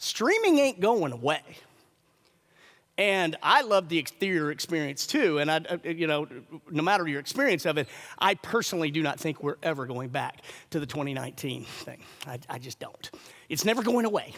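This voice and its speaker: The delivery has an energetic tone and lively intonation at a moderate pace, broken by long, frequent pauses. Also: man, fairly high pitch for a man. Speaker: screenwriter. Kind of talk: conference talk. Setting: stage with audience. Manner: loud, energetic.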